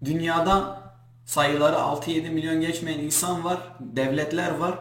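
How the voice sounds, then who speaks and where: A man with a Kurdish accent speaks at a fairly high pitch and a fairly slow pace. Noticeable background noise and audible room echo fill the recording. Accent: Kurdish accent in Turkish. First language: Kurdish (speaking Turkish). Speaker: Kurdish YouTuber. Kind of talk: vlog rant to camera. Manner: animated, indignant.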